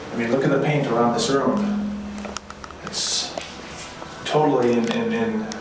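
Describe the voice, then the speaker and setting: A man talks at a fairly slow pace. Audible room echo and noticeable background noise run through the clip. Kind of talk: casual explorer commentary. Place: empty room.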